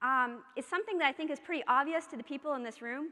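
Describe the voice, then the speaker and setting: A woman with an American accent speaks in a raised, projected voice, her tone bright and sharp and her pitch high. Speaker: keynote speaker, social psychology researcher. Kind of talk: keynote speech. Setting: conference stage with audience. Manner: fast.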